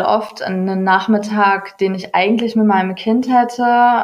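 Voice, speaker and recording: At a fairly slow pace, a woman talks at medium pitch in a monotone with flat intonation. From Ruhr area, Germany. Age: 30s. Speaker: yoga and mindfulness entrepreneur. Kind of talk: interview.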